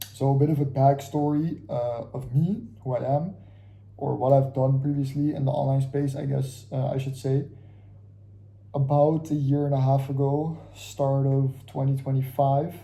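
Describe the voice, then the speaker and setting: A man with a dark, mellow tone talks in a somewhat breathy, monotone, flat delivery, with audible room echo. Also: fairly high pitch for a man, moderate pace. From Curacao, Caribbean. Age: 20s. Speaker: vlogger, aspiring trader. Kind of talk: casual vlog monologue. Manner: casual, halting with fillers.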